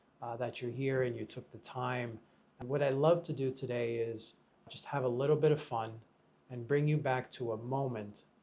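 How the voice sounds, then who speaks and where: A man with an American accent talks at a moderate pace in a medium pitch, his tone dark and mellow, somewhat breathy, with fairly even intonation. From United States. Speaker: podcast host and real estate broker. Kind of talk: podcast interview.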